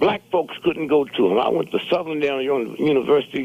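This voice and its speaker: A man with an American accent speaks at a fairly high pitch and a fairly slow pace. Vocal fry runs through his voice. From St. Louis, Missouri, US Midwest. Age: 80s+. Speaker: radio show guest, community elder. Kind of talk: radio talk show discussion. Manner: animated.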